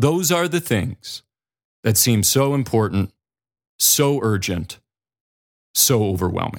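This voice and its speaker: Very slow, lively-intoned male speech at a medium pitch, with an American accent, in a very clean recording with a silent background. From North or South Dakota. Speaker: podcast host and speaker for parents. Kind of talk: solo podcast monologue. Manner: casual and reflective.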